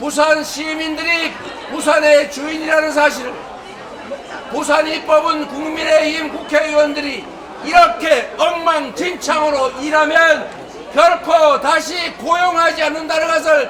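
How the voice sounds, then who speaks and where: Shouting at a very slow pace, a man delivers his words in an extremely high pitch with monotone, flat intonation over noticeable background noise. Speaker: politician, party leader. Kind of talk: campaign rally speech. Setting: outdoors.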